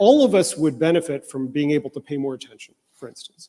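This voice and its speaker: A man speaks in a fairly high pitch with a dark, mellow tone. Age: 60s. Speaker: researcher on human enhancement and bioethics. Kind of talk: conference panel talk. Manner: halting, many fillers.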